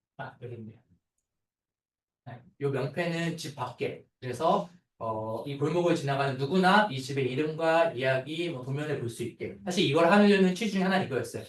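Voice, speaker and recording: With lively intonation and big swings in loudness, a man speaks at a fairly high pitch. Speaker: architect. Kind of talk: seminar talk. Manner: fast; filler-heavy.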